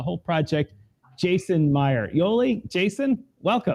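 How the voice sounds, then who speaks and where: Here a man speaks in an American accent with a high pitch, a dark, mellow tone, and lively intonation. The sound is dry and close, with no echo. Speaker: podcast host. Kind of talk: live show hosting. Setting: live video stream.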